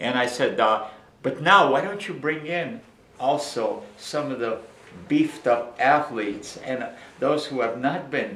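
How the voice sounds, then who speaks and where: Delivered at a fairly slow pace with lively intonation, the voice carries audible room echo. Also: man. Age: 70s. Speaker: raw food author. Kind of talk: casual interview. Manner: animated.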